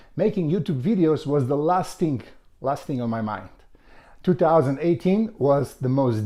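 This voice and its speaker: A man with a Macedonian accent speaks with very wide pitch swings. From North Macedonia. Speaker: author and health vlogger. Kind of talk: personal testimony to camera. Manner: halting, with fillers and restarts.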